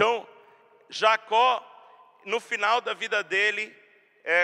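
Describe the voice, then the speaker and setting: A man speaks in a high, raised and projected voice, bright and sharp in tone, at a very slow pace with flat, monotone intonation, recorded dry and close with no echo. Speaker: pastor. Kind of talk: sermon.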